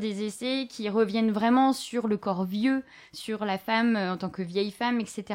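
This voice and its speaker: This is a normal speaking voice at a fairly slow pace. Its pitch moves in an ordinary way. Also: woman. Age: 30s. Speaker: podcast host and bookseller. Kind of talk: live bookshop interview.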